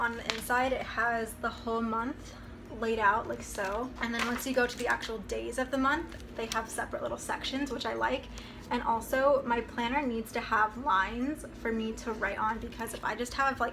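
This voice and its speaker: A woman with a fairly high pitch speaks at a moderate pace in fairly even intonation, with noticeable background noise and audible room echo. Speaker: college student vlogger. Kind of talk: casual vlog. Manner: casual, filler-heavy.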